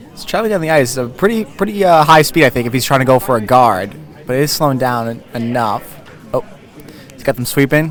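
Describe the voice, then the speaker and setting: A man talks quietly at a very fast pace, with a medium pitch, lively intonation and big swings in loudness, as music plays in the background. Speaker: curling commentator. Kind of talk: live commentary. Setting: curling club. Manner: quiet, mellow.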